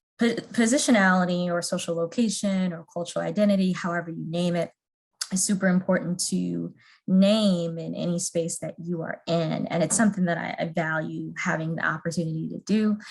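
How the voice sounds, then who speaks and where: Her pace is fairly quick, her intonation fairly even. The woman's voice is fairly low in pitch and somewhat breathy. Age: 30s. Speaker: trainer. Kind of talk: training presentation.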